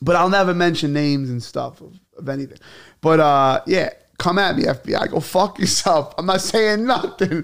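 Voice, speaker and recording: Speaking with a New York accent, a man with a high pitch uses lively intonation at a moderate pace, his loudness swinging widely. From New York City, Brooklyn (Bay Ridge). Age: 30s. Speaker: comedian. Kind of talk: casual chat. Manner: animated.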